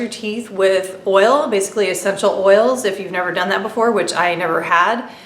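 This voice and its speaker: A woman at a medium pitch is heard with audible room echo and noticeable background noise. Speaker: beauty vlogger. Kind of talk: casual product review monologue.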